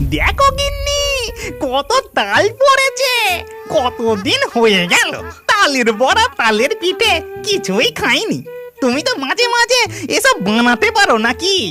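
Clear music plays behind a cartoonish character voice moving at a very slow pace.

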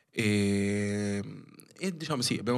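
Over a quiet background, the speaker moves at a fairly slow pace with ordinary pitch variation. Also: man. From Rome, Italy (Filipino family). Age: 20s. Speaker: dance choreographer; podcast guest. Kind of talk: casual chat. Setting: studio. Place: studio. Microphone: studio mic.

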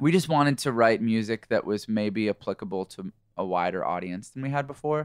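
A man's plain, everyday voice, medium in pitch, fairly quick and lively in intonation, on a very clean recording with a silent background and a dry, close sound with no echo. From Canada. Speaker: rock band lead singer. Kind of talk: casual interview. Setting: studio.

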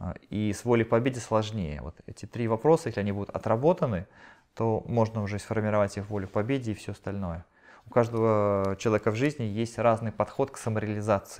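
At a very fast pace, a man with a fairly low pitch and ordinary pitch variation speaks with big swings in loudness. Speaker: channeling medium relaying answers to audience. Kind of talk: live channeling session at seminar; spiritual session talk, relaying answers. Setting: seminar hall with live audience. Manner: halting. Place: home room.

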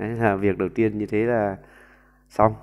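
Fairly even intonation at a fairly slow pace, over a quiet background. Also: man. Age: 40s. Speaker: YouTube commentator. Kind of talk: monologue commentary. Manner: halting with frequent fillers. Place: home room. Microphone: earbuds.

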